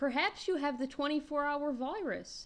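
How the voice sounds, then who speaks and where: In a put-on character voice, a female-sounding speaker talks at a moderate pace and a high pitch. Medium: read story. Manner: calm, practical.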